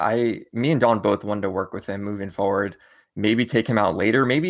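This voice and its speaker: On a very clean recording with a silent background, a man with an ordinary speaking voice talks at a fairly quick pace, his intonation fairly even. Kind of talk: casual chat.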